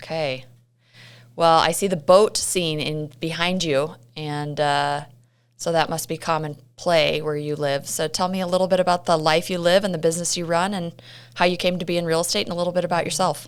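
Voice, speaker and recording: Speaking at a fairly quick pace, a woman has an unremarkable speaking voice with a fairly low pitch. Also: fairly even intonation, very clean recording, silent background. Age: 40s. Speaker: podcast host. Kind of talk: podcast intro.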